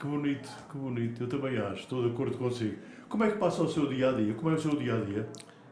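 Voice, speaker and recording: The speech is very fast with ordinary pitch variation. Audible room echo and noticeable background noise fill the recording. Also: man, medium pitch for a man. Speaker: podcast host, veteran radio commentator. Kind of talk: interview.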